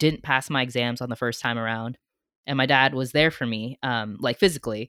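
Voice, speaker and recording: A woman's very deep, low voice in an American accent, at a fairly quick pace with fairly even intonation. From US, San Francisco Bay Area. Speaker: guest host, sibling of the late father. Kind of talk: casual chat.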